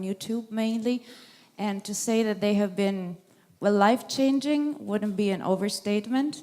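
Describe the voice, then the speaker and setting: Speaking at a moderate pace with a non-native accent, a woman has a fairly high pitch, a dark, mellow tone and ordinary pitch variation. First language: not English. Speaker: audience member asking a question. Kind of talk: audience question at a lecture Q&A. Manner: halting.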